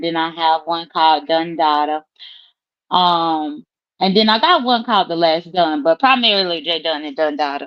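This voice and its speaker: A woman talks in a Southern US accent. Her pace is fairly slow. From US South, South Mississippi. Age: 30s. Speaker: guest YouTuber. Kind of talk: casual chat. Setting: live stream.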